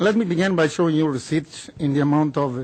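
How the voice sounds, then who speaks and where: An unremarkable speaking voice from a man, fairly high in pitch, with fairly even intonation at a moderate pace. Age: 60s. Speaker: cancer patient advocate. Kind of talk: prepared public statement. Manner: formal.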